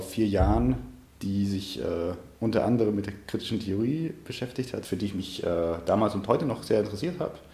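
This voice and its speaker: Somewhat breathy and dark, mellow in tone, a man's fairly low voice carries audible room echo. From Munich, Bavaria. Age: 20s. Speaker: history student. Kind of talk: interview. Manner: halting, repeats words.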